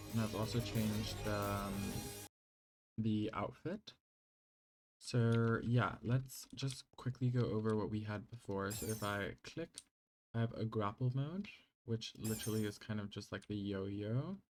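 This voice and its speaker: With a non-native accent, the speaker talks at a fairly slow pace and takes long, frequent pauses. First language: not English. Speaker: gaming YouTuber. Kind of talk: gameplay mod showcase. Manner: casual, hesitant with fillers.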